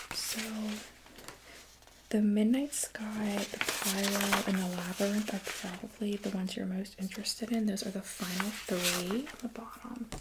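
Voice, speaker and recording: Soft-spoken words come at a moderate pace amid noticeable background noise. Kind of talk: ASMR role play, soft-spoken design consultant.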